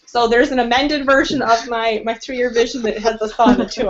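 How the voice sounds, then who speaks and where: An animated woman with a fairly high pitch at a fairly quick pace, over noticeable background noise. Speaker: team member sharing testimony. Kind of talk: testimony.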